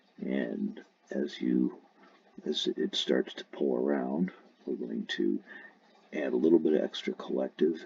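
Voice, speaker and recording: Soft-spoken and fairly slow, this man talks with long, frequent pauses. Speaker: RC helicopter hobbyist. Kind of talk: tutorial.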